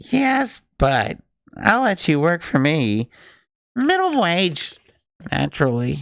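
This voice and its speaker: This is a put-on character voice with a sing-song lilt. It moves at a fairly slow pace with long, frequent pauses. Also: man, high pitch for a man. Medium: read story. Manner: sing-songy, distracted, dreamlike.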